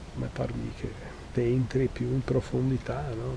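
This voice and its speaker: Noticeable noise fills the background. Through it, a man talks fairly slowly. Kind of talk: interview answer.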